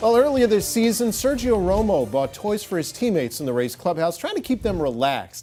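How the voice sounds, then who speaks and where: A man at a fairly quick pace with very wide pitch swings, music in the background. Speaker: sports TV host. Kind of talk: sports broadcast hosting.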